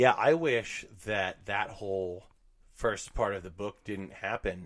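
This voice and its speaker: A fairly slow delivery in an American accent with ordinary pitch variation. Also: man. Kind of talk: casual chat.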